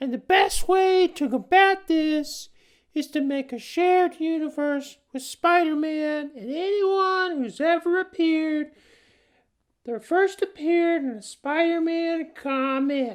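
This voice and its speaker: A woman in a put-on character voice, squeaky and extremely high in pitch, at a fairly slow pace over a quiet background. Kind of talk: parody fan rant. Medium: solo performance. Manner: rambling, hesitant, full of fillers.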